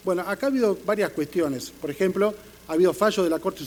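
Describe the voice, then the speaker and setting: The man's pitch is high. He speaks at a very fast pace. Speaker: panelist on police labor law. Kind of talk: conference panel talk. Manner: halting with fillers and self-corrections.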